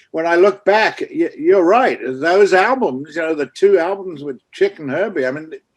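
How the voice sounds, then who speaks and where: The speaker moves at a moderate pace with lively intonation and hardly any pauses. Loudness swings widely throughout. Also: man, high pitch for a man. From England. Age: 70s. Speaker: music manager and record executive. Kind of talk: casual interview chat.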